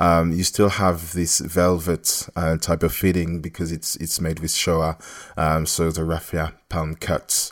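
At a fairly slow pace, a man speaks in a very deep, low pitch with monotone, flat intonation. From France and Congo. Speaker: textile designer. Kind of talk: interview. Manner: hesitant, many filler sounds.

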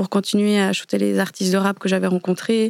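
Recorded very cleanly against a silent background, a woman speaks fairly quickly at a medium pitch, with a dry, close sound and no echo. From Switzerland. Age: 20s. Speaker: photographer. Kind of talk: interview. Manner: casual.

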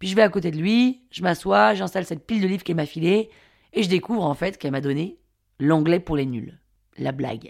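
Captured on a very clean recording with a silent background, a woman's fairly low voice carries vocal fry and very wide pitch swings. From Paris, France. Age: 30s. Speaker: podcast storyteller. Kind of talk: scripted narration.

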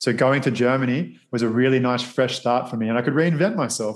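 A man with an Australian accent and a medium pitch, at a fairly quick pace against a quiet background. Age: 30s. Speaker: model and actor. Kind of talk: interview.

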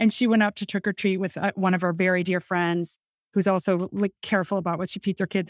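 Speaking in a Midwestern accent, a woman talks very fast at a medium pitch with monotone, flat intonation, the sound dry and close with no echo. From US Midwest, northern Illinois. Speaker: food writer and cookbook author. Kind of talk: casual interview chat.

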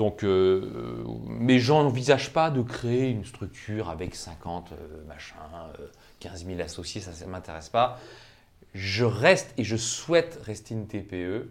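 Speaking at a very slow pace, a man with a fairly low pitch shows lively intonation, vocal fry and big swings in loudness. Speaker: employment lawyer. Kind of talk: interview. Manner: hesitant, with many fillers.

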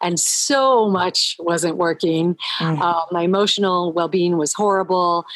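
In an unremarkable speaking voice, a woman talks at a fairly slow pace with medium pitch and fairly even intonation, the sound dry and close with no echo. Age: 60s. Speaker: holistic nutritionist. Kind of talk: casual chat. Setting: remote audio call, video off.

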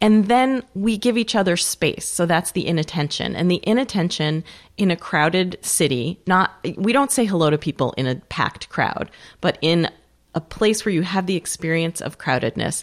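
Over a silent background in a very clean recording, a woman speaks at a moderate pace with fairly low pitch and a plain, everyday voice. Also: lively intonation. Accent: American. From Western New York. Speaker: author. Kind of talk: interview conversation.

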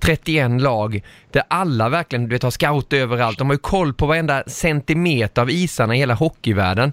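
A man with an unremarkable speaking voice, medium pitch and ordinary pitch variation. The recording is very clean with a silent background, dry and close with no echo. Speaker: podcast host. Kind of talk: casual chat.

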